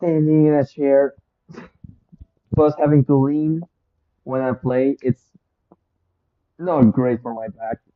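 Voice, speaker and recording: This speaker has a non-native accent and talks very slowly. Long pauses come often. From Europe, non-English-speaking country. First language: not English. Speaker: gaming streamer. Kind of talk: live gameplay stream chat. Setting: live stream. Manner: low volume at times when focused.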